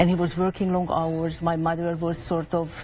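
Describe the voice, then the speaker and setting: In a Hungarian accent, this somewhat breathy voice has a dark, mellow tone and moves at a fairly quick pace. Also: woman. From Hungary. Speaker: author. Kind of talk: TV interview.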